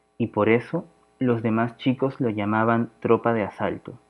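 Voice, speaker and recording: A man with an unremarkable speaking voice talks at a medium pitch and a fairly slow pace. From Peru, Lima. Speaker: podcast host. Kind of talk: reading aloud.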